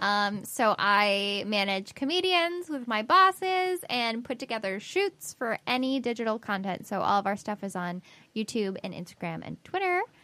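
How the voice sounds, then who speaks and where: This voice has a bright, sharp tone and very wide pitch swings, and it runs on with hardly any pauses. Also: woman, fairly high pitch for a woman, moderate pace. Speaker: podcast co-host. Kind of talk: casual chat.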